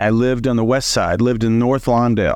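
A man talks with a plain, everyday voice at a medium pitch. He moves at a fairly quick pace against a quiet background. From Southern Illinois. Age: 40s. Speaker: leadership coach. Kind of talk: casual interview.

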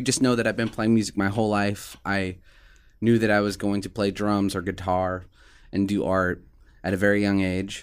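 This is a man with a fairly low pitch and an American accent. The recording is very clean, with a silent background. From Omaha, Nebraska. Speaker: music producer. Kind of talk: casual chat. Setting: studio. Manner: animated.

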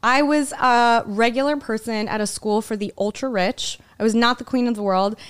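With an ordinary speaking voice and an American accent, a woman speaks at a moderate pace and fairly high pitch on a very clean recording with a silent background. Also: fairly even intonation. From Philadelphia suburbs, Pennsylvania. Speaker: stand-up comedian. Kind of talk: casual chat.

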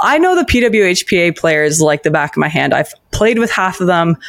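This is a plain, everyday voice at a moderate pace. The pitch varies in an ordinary way. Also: woman. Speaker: podcast co-host. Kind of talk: casual chat.

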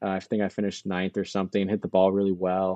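Talking at a very fast pace, a man with an American accent has a fairly low pitch. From California. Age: 20s. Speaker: college golfer. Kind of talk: casual chat.

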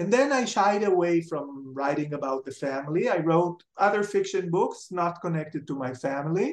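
With an Israeli accent, a man speaks at a high pitch and a moderate pace with lively intonation. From Israel, Jerusalem. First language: Hebrew. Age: 60s. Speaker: writer and television personality. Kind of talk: interview.

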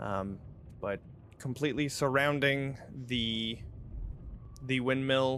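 With long, frequent pauses, a man speaks at a very slow pace, keeping a medium pitch and fairly even intonation. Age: 30s. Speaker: game master of a role-playing stream. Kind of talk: tabletop role-play narration. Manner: casual, filler-heavy.

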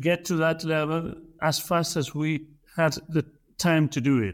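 A man with a Spanish accent speaks at a high pitch. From Argentina (Buenos Aires). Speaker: entrepreneur and angel investor. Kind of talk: interview conversation.

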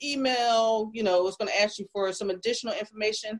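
Recorded dry and close with no echo, a woman has an ordinary speaking voice, fairly high in pitch with ordinary pitch variation. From South Jersey, US. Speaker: nurse practitioner. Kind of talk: interview.

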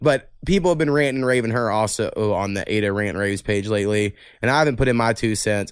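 A man with an American accent, a medium pitch and ordinary pitch variation, talking at a very fast pace in a very clean recording with a silent background. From Oklahoma. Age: 30s. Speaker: podcast host. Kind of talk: casual chat.

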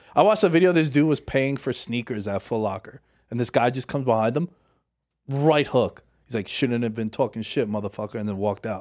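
With a New York accent, a man of medium pitch talks at a fairly quick pace with ordinary pitch variation on a very clean recording with a silent background. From Queens, New York City. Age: 30s. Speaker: podcast host, guest. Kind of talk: casual chat.

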